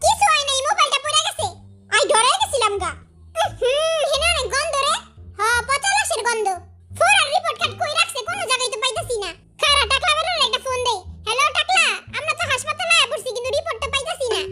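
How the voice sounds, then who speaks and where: The speaker uses a cartoonish character voice. The delivery moves at a fairly quick pace. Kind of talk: comic overacting. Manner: panicky, loud, rustic slang.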